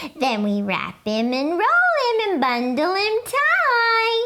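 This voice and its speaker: A female-sounding put-on character voice, squeaky and extremely high in pitch, moves at a very slow pace with very wide pitch swings. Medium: read story. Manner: singsong.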